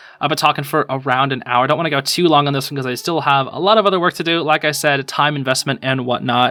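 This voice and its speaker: Over noticeable background noise, a man talks at a very fast pace with hardly any pauses, his fairly high pitch held in fairly even intonation. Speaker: youtuber, podcast host. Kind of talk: solo podcast monologue. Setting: home recording. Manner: halting, filler-heavy.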